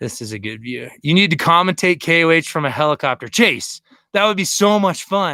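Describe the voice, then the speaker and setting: Energetic and bright, with a sharp tone, a man speaks at a high pitch and a fairly quick pace, his pitch swinging very widely. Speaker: overlanding vlogger. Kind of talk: live stream chat.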